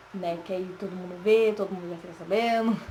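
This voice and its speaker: A woman speaks softly at a medium pitch. Her pitch varies in an ordinary way. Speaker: vlogger. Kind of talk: casual personal story vlog. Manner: soft-spoken, talking quietly.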